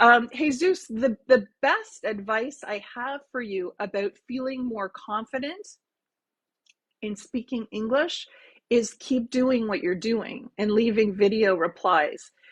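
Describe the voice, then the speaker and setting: A woman with a Canadian accent speaks at a very slow pace. Her fairly high voice has lively intonation. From Ontario, Canada. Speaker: English teacher. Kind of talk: live stream language class. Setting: livestream.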